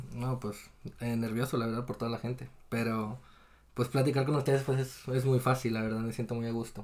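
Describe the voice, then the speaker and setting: A man's medium-pitched voice with a Mexican accent, flat and monotone, at a fairly quick pace. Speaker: podcast guest. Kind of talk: casual chat.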